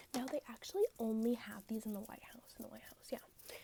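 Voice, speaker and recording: Talking fairly quickly, this speaker keeps a soft-spoken voice. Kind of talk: ASMR roleplay, fast-talking tour guide. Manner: soft-spoken, fast, repetitive.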